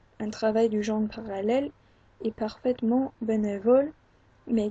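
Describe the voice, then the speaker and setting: With an English accent, a woman speaks at a fairly slow pace and a fairly high pitch, her tone dark, mellow, and somewhat breathy. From England. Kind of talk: book reading.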